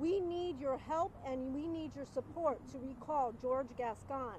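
There is light background noise and a dry sound with no echo as a woman speaks at high pitch with ordinary pitch variation. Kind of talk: press conference speech. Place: street. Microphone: podium.

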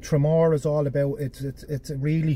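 Over light background noise, a man talks at a moderate pace in a monotone, flat intonation, somewhat breathy, with a dry sound and no echo. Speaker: travel vlogger. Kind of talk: casual vlog chat. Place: car. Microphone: phone near.

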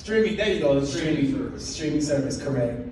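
Male voice in strong room echo with light background noise. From Cleveland, Ohio; Ohio. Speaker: actor. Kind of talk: public talk to an audience. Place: meeting room. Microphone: pa.

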